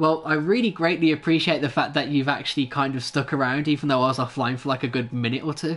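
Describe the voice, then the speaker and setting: This man talks at a very fast pace in an English accent, with hardly any pauses. His pitch is fairly high, with ordinary variation. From England. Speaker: gaming livestreamer. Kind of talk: live gameplay commentary and chat with viewers. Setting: indoors, home livestream. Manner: laughs often, hesitant with many fillers.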